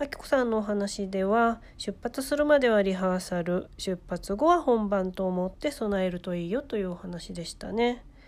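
With hardly any pauses, a woman speaks at a moderate pace in a normal speaking voice, with medium pitch, lively intonation and big swings in loudness. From Ehime, Shikoku, Japan. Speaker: podcast host and freelance writer. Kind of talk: casual chat; scripted narration. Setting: live-streamed remote recording.

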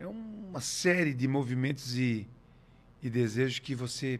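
A man at medium pitch on a very clean recording with a silent background. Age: 50s. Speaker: musician. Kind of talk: casual interview.

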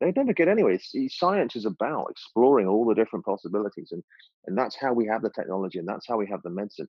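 Here a man speaks with an English accent. His pitch is fairly low and his intonation lively. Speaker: creative director and food blogger. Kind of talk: casual chat.

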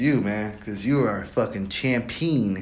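At a moderate pace, a man speaks with ordinary pitch variation, with noticeable background noise and audible echo from the room. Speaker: solo podcaster. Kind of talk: casual monologue.

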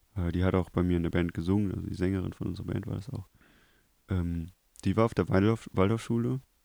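In a very clean recording with a silent background, a man talks at a very fast pace with a very deep, low pitch, a dark, mellow tone and ordinary pitch variation. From Germany, Krefeld. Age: 20s. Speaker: TV media technician. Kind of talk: casual chat.

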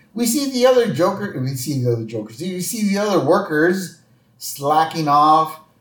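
Very wide pitch swings at a moderate pace, with audible room echo. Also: man, high pitch for a man. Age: 40s. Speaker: podcast host. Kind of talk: casual chat.

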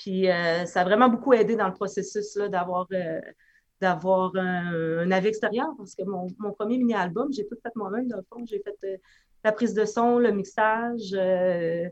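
A woman's normal speaking voice at medium pitch, fairly slow and fairly even in intonation, with big swings in loudness. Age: 30s. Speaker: musician. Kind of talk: casual chat.

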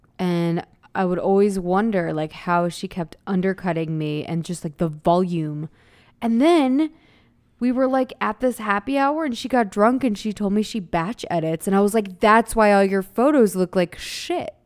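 A woman speaks in a normal speaking voice at medium pitch, with an American accent and lively intonation. Her moderate pace comes through on a very clean recording, silent background. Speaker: podcast co-host. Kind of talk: casual chat.

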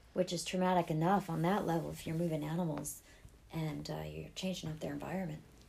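Audible room echo surrounds a woman with an American accent who speaks at a very fast pace. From New England, US (Boston area). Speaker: podcast host. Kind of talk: casual chat.

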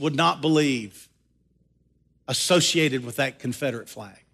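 A man with an American accent speaks in a bright, sharp tone. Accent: Southern US, held back. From US South. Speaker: pastor. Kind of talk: sermon. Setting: church.

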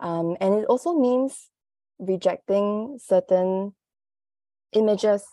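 The tone is dark and mellow, with ordinary pitch variation. The sound is dry and close with no echo, over a quiet background. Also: woman. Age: 30s. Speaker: copywriter. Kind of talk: interview conversation.

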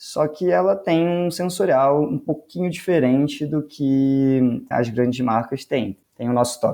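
A man's fairly high voice carries a dark, mellow tone at a fairly slow pace. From Brazil, Petrópolis (Rio de Janeiro state), then São Paulo. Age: 20s. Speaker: master brewer. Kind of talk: interview.

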